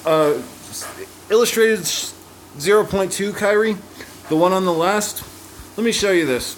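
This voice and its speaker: A man speaks at a high pitch and a moderate pace. Noticeable background noise and audible room echo fill the recording. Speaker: gaming youtuber. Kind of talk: gameplay tutorial. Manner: casual. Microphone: poor audio quality.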